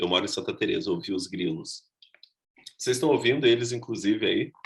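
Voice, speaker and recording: A man speaks at a moderate pace. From southern Brazil, Rio Grande do Sul (Gravataí). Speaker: costume designer and actor teaching a workshop. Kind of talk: online workshop lecture.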